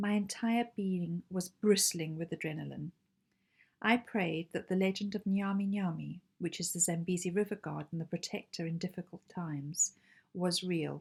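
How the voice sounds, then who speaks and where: With a Zimbabwean accent, a woman speaks at a moderate pace in a fairly low, somewhat breathy voice with fairly even intonation. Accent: Zimbabwean accent noticeable. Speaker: amateur writer. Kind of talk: reading aloud own short story.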